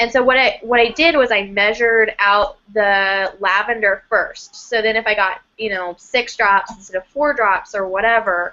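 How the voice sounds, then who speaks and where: A woman talks at a moderate pace with hardly any pauses. Her fairly high voice has a bright, sharp tone and ordinary pitch variation. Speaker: aromatherapy co-host. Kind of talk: live webinar Q&A. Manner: loud.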